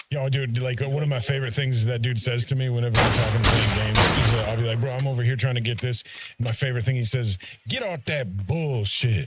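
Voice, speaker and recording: A man with a medium-pitched voice talks very fast against noticeable background noise. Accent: American. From US Midwest, East St. Louis, Illinois. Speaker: gaming streamer. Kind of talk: casual chat. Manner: animated.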